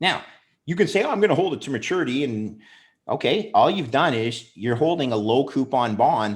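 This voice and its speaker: A man with a Canadian accent speaks in an unremarkable speaking voice at a moderate pace, his intonation lively, on a very clean recording with a silent background. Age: 50s. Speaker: bond trader and investor. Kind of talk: podcast interview.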